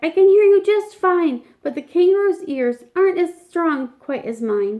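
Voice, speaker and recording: A woman's put-on character voice, squeaky and extremely high, at a moderate pace. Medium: read story.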